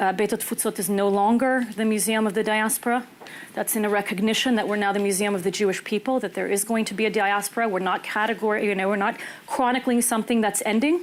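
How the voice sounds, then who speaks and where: Speaking very fast, a woman talks with an American accent. Her pitch is fairly high and her intonation fairly even. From US, Los Angeles (Israeli parents). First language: Hebrew. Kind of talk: panel discussion. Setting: small room with audience.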